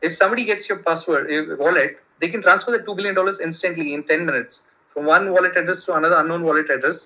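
A man with a high pitch and ordinary pitch variation talks at a very fast pace. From India. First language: Kannada. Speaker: tech entrepreneur. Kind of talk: casual interview. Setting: remote call. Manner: halting, many fillers.

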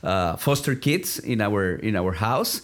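With a Spanish accent, a man speaks fairly slowly with lively intonation on a very clean recording against a silent background. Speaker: ministry development director. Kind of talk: interview.

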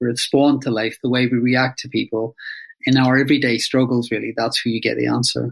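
Monotone, flat intonation at a very fast pace, in a Northern Irish accent. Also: man. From Northern Ireland, Belfast. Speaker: psychotherapist and author. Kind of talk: interview.

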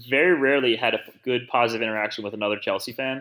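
This man has an American accent and a medium pitch, and he talks at a very fast pace. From Philadelphia. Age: 30s. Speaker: personal trainer. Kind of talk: casual chat.

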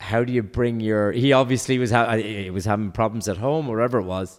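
A man with an Irish accent speaks at a fairly quick pace. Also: very clean recording, silent background. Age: 50s. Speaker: entrepreneur. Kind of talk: casual chat. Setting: at home.

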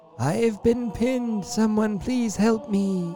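A man's put-on character voice, high in pitch, over clear background noise. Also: fairly slow pace. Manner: pleading for help.

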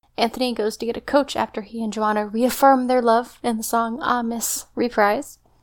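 The delivery moves at a moderate pace in a monotone, flat intonation, with hardly any pauses. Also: woman, fairly high pitch for a woman. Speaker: podcast co-host. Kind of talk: casual chat.

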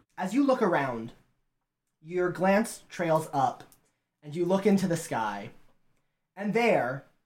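This man's voice is high-pitched and shrill, with very wide pitch swings. He talks at a very slow pace. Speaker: game master; podcast host.

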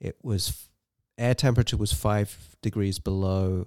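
On a very clean recording with a silent background, a man with an English accent speaks in a dark, mellow tone at fairly low pitch, with ordinary pitch variation. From England. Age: 40s. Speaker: amateur ultrarunner. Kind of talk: casual interview.

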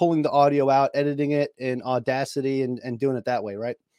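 Speaking at a moderate pace, a man with a New York accent keeps a monotone, flat intonation. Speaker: personal finance podcaster, Navy veteran. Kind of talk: interview conversation. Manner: talkative.

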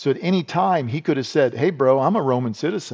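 A man with an American accent, fairly high-pitched and animated, with lively intonation and a fairly quick pace. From US Midwest, South Dakota. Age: 50s. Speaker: retired army special forces soldier. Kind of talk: interview conversation.

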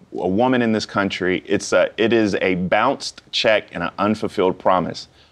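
With a plain, everyday voice, a man with an American accent speaks at a moderate pace, fairly low pitch and fairly even intonation against a quiet background. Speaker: author and former politician. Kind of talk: interview. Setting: TV studio.

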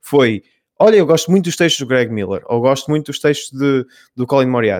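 Here is a man with an ordinary speaking voice, speaking at a fairly quick pace in a medium pitch. The sound is dry and close, with no echo. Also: lively intonation. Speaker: video game editor. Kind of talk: casual panel discussion.

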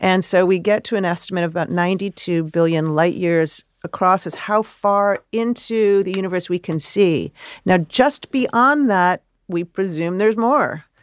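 A woman speaks in an unremarkable speaking voice with an American accent. Her pace is moderate and her pitch variation ordinary. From US Midwest, Chicago. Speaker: astrophysicist. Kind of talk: interview.

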